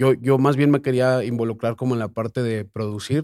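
The recording is very clean, with a silent background and a dry, close sound with no echo. A man with a normal speaking voice speaks in a medium pitch with fairly even intonation. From Mexico City. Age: 20s. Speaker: reggaeton artist and producer. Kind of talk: casual interview.

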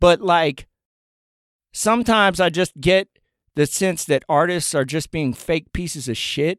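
In an American accent, a high-pitched man talks at a fairly slow pace with ordinary pitch variation and long, frequent pauses, recorded with a dry, close sound with no echo in a very clean recording with a silent background. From US South, Appalachia (Buncombe County, North Carolina). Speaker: rapper. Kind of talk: casual chat.

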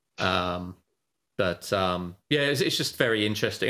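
A man with a British accent and a bright, sharp tone, fairly low in pitch, at a moderate pace with ordinary pitch variation, on a very clean recording against a silent background. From Britain. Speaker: options trader and trading educator. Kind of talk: casual interview.

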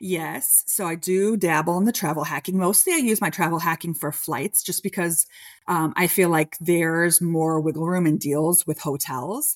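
With an American accent and a normal speaking voice, a woman speaks at a moderate pace and a fairly low pitch with ordinary pitch variation, recorded very cleanly against a silent background. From Chicago. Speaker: travel advisor. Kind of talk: casual interview.

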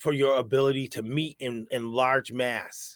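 Dry, close sound without echo, a man with an American accent at medium pitch and fairly even intonation. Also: very clean recording, silent background. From New York. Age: 40s. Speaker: podcast host. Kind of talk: casual chat.

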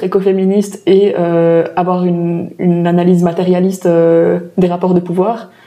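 Dark, mellow tone in a woman's voice of medium pitch. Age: 20s. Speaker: climate activist. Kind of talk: interview.

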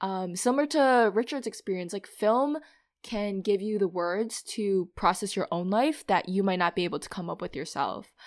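A woman uses a normal speaking voice with lively intonation at a moderate pace. The recording is very clean with a silent background. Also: medium pitch for a woman. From Minnesota. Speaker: podcast co-host, bank analyst. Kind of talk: casual chat.

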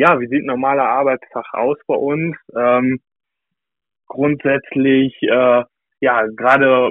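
With a normal speaking voice, a man talks at a fairly high pitch and fairly slow pace, his intonation fairly even. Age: 20s. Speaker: customer account manager. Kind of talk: casual chat. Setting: remote call.

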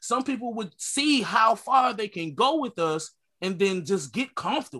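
Over a quiet background, a man with an American accent projects a raised, high-pitched voice, bright and sharp in tone, with lively intonation. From Connecticut, US. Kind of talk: casual group discussion.

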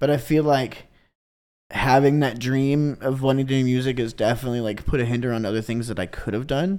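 This man has a Midwestern American accent. His intonation stays fairly even. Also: medium pitch for a man. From US Midwest, Kansas City. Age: 20s. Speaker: electronic music DJ and producer. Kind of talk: casual chat.

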